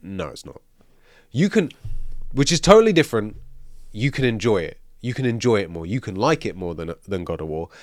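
Big swings in loudness and very wide pitch swings mark this man's medium-pitched voice at a fairly quick pace. Long, frequent pauses break it up on a very clean recording with a silent background. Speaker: gaming podcast co-host. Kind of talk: casual chat.

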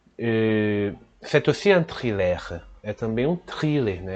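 The man speaks at a medium pitch with lively intonation. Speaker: French teacher podcast host. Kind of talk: bilingual language lesson.

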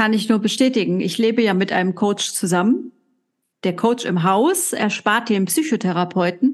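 This is an unremarkable speaking voice at a moderate pace, with ordinary pitch variation. The background is quiet. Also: woman, medium pitch for a woman. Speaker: coaching podcast co-host. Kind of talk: casual chat.

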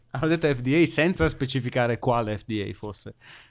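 A normal speaking voice from a man, medium in pitch, at a moderate pace with ordinary pitch variation, in a very clean recording with a silent background. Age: 30. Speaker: physicist, tech podcast co-host. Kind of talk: casual chat.

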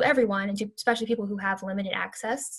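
In an American accent, a woman speaks in a somewhat breathy voice with monotone, flat intonation. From US South, Louisiana (Baton Rouge), later Houston. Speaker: university student and activist. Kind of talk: interview.

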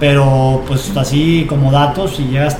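Over background music and audible room echo, a man speaks in a fairly high pitch with fairly even intonation. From Mexico, Michoacán. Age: 30s. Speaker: professional footballer. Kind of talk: casual chat.

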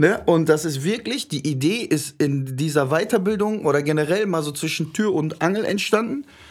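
With an animated tone and lively intonation, a man with a fairly high pitch talks at a moderate pace with hardly any pauses. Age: 20s. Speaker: podcast host. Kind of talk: casual chat.

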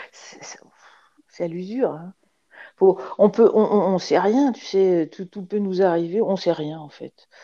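A woman speaks very slowly at a medium pitch with a dark, mellow tone. Her loudness swings widely, her pitch varies in an ordinary way, and she takes long, frequent pauses. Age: 60s. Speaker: retired dentist and amateur artist. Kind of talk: interview. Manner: halting.

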